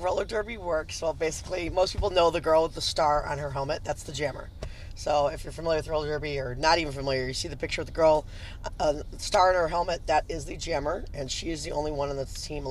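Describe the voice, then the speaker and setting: The speech moves at a very fast pace. Light background noise can be heard. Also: dry sound with no echo. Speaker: podcast guest. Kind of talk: interview answer. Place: car.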